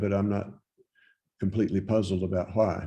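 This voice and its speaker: A man with an American accent, fairly low in pitch, with a dark, mellow, somewhat breathy tone, fairly even intonation and a moderate pace, on a very clean recording with a silent background. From Virginia, Loudoun County. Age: 70s. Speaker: poet. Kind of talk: interview answers. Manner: halting, many fillers.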